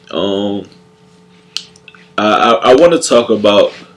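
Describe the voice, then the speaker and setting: A man talks at a very slow pace with a fairly low pitch, and noticeable background noise is present. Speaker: video blogger. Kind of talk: vlog monologue. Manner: halting.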